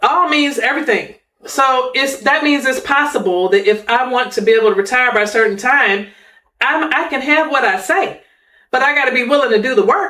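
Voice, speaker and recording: Her voice is raised and projected, high-pitched, bright and sharp. This woman speaks at a fairly quick pace with lively intonation. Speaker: financial planning podcast host. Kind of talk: podcast conversation. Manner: preachy, exhortative.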